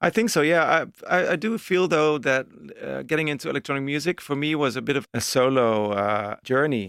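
A man with a Dutch accent talks at a fairly quick pace, his fairly high voice moving with lively intonation. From Netherlands, Amsterdam. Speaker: techno DJ and music producer. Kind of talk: casual interview chat. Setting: music studio.

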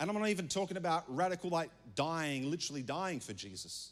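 A fairly quick delivery in an Australian accent on a very clean recording with a silent background. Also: man. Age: 30s. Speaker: pastor. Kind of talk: sermon.

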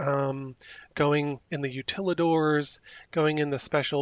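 With an American accent and a normal speaking voice, a man talks at a fairly slow pace, his fairly high pitch held in fairly even intonation. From New Jersey. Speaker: Disney local.

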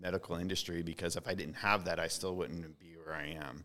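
Bright and sharp in tone, a man's voice moves at a moderate pace. His pitch variation is ordinary. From US, Mount Vernon. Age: 40s. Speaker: author and artist. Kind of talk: casual chat. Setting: brewery.

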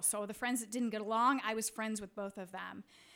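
Fairly even intonation marks an unremarkable speaking voice. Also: woman. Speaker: storyteller, writer. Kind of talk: live personal storytelling. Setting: stage with audience.

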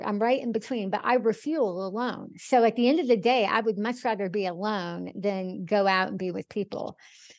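An ordinary speaking voice from a woman with an American accent, fairly high pitch, ordinary pitch variation and hardly any pauses over a quiet background. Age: 50s. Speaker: author and speaker, cancer survivor. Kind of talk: interview conversation.

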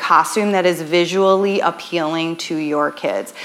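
In an American accent, a woman talks at a fairly slow pace over noticeable background noise. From Western New York, Buffalo area. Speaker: tap teacher and dance studio owner. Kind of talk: workshop presentation. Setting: live room with audience at a retreat. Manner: casual, filler-heavy.

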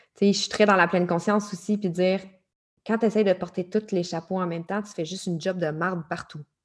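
The speaker is a woman. She talks in a Quebec accent. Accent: Québécois French. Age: 30s. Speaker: life coach. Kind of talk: interview. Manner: animated.

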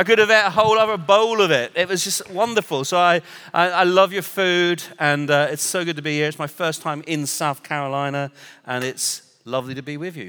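The loudness swings a lot, and the pitch varies an ordinary amount. The pace is fairly quick. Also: man, high pitch for a man. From Northern Ireland, raised partly in England. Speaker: international prayer movement director, visiting preacher. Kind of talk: sermon. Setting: church stage with live audience.

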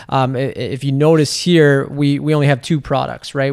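A man speaks with a Canadian accent in a fairly high pitch. His intonation is monotone and flat. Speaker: skincare entrepreneur. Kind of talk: casual chat.

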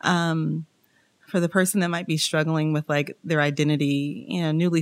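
With an American accent, a woman talks in a very deep, low voice and fairly even intonation. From Kansas City, US Midwest. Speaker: church member sharing her divorce story. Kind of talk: casual interview.

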